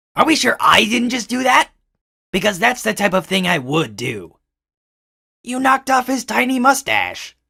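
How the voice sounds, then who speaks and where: A man's cartoonish character voice, high-pitched, at a moderate pace with long, frequent pauses. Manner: dry, sarcastic.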